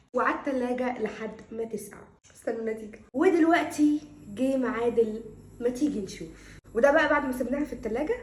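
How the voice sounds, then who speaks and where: A loud, animated woman's voice, high in pitch, at a moderate pace over noticeable background noise. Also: ordinary pitch variation. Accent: Egyptian. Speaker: cooking YouTuber. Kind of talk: casual cooking vlog.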